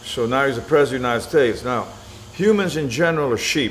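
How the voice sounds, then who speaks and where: A man talks very fast with ordinary pitch variation, and noticeable background noise is present. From Venezuela, then US Gulf Coast. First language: Spanish. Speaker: military veteran and businessman. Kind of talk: interview. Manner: opinionated, emphatic.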